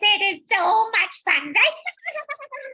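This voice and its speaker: A woman puts on a squeaky character voice pitched extremely high. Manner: theatrical storytelling.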